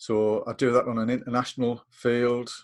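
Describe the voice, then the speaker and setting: In a northeast English accent, a man of medium pitch speaks at a fairly slow pace in a very clean recording with a silent background. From northeast England. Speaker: coaching lecturer. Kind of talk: casual chat. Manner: hesitant, many fillers.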